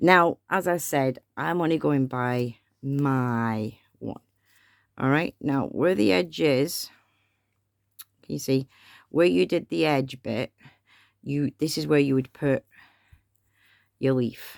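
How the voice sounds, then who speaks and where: Mumbling very slowly with long, frequent pauses, a woman with a very deep, low pitch uses lively intonation in a very clean, dry, close recording with a silent background and no echo. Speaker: craft tutorial maker. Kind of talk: tutorial. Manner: chatty.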